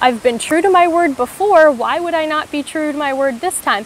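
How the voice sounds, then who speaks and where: With a high pitch and a moderate pace, a woman speaks in a dry sound with no echo over light background noise. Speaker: faith vlogger. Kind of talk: casual vlog reflection. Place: forest. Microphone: phone near.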